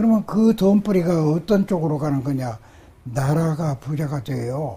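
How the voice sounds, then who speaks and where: A man's fairly high-pitched voice with a dark, mellow tone, lively intonation, and a fairly slow pace. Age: 80s+. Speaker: acupuncture and moxibustion master. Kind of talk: interview answer.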